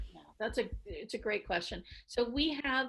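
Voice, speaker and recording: Fairly quick speech from a woman. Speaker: victim services chief, psychologist. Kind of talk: training webinar presentation and Q&A. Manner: fast.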